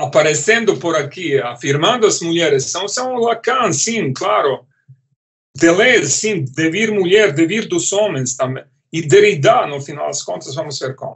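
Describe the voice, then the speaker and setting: A man's high-pitched voice with a non-native accent and lively intonation. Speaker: philosophy professor. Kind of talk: lecture. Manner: halting, many repetitions and fillers.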